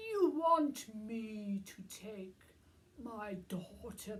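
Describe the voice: Plain reading aloud carried by lively intonation.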